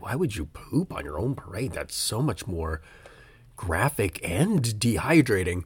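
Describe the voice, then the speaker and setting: A man is talking, somewhat breathy. His pitch stays medium. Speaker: podcast host. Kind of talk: casual solo monologue. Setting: home recording, rain at window. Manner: halting, many fillers.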